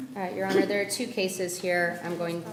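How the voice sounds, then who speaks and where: A woman's fairly low voice amid audible room echo and noticeable background noise. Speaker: defense attorney. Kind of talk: courtroom plea presentation. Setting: courtroom.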